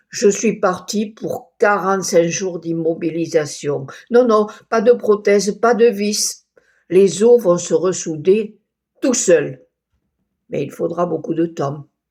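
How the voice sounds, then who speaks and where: A woman speaks at medium pitch in a dark, mellow tone, with ordinary pitch variation. Her pace is very slow, with long, frequent pauses. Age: 80s+. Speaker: storyteller recounting hospital stay. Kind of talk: personal storytelling. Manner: conversational, slightly halting.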